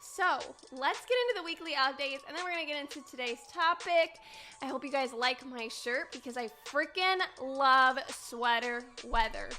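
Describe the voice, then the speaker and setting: Over music in the background, a raised, projected voice with an American accent speaks in an animated tone at a moderate pace with ordinary pitch variation. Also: woman, high pitch for a woman. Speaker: podcast host. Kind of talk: casual chat.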